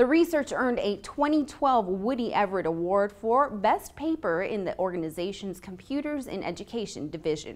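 At a fairly quick pace, a woman talks with a medium pitch and very wide pitch swings. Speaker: university newscast anchor. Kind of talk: news anchor read. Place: classroom.

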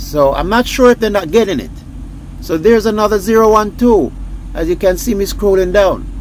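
A man's high-pitched voice with a slightly mellow tone, at a moderate pace, over faint background noise. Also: ordinary pitch variation.

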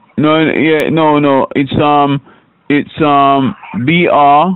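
Slow and clear, a man with a fairly high pitch talks in a smooth tone with little pitch movement.

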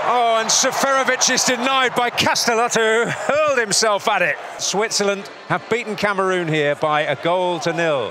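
The voice is raised and projected, with lively intonation, very even loudness and hardly any pauses, over noticeable background noise. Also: man, high pitch for a man, moderate pace. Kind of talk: live football commentary over match highlights. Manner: builds and releases tension, with short breathless bursts at chances.

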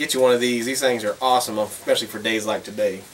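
Male speech with light background noise. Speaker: hunter vlogger. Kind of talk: casual vlog chat. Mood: relaxed, cheerful. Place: workshop. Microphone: camera far.

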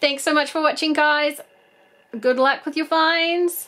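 A woman at a fairly slow pace, high in pitch, with a fairly bright tone and fairly even intonation.

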